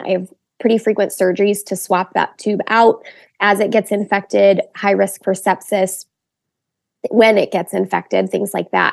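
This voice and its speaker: Vocal fry in a woman's medium-pitched speech, moderate in pace, with fairly even intonation. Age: 20s. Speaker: wedding photographer and blogger. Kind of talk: testimony.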